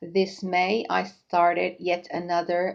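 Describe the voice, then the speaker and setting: A woman with a Finnish accent talks at a very slow pace in a fairly low pitch. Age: 40s. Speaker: knitting podcaster. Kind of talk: casual vlog chat. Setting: home kitchen. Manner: halting, many fillers.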